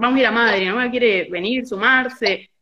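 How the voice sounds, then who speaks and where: The speaker is a woman with a high pitch. Her pitch variation is ordinary. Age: 20s. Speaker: football fan activist. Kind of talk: casual chat. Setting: video call.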